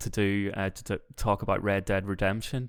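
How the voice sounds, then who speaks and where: Speaking at a fairly quick pace, a man with a Northern Irish accent has a fairly low pitch and ordinary pitch variation. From Northern Ireland. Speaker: podcast co-host or guest. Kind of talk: casual chat. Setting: call.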